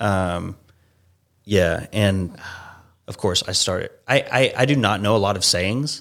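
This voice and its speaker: In an American accent, the speaker talks at a fairly slow pace with ordinary pitch variation and long, frequent pauses on a very clean recording with a silent background. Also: man, fairly low pitch for a man. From US South, Savannah, Georgia. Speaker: improv performer and sketch writer. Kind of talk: casual interview chat.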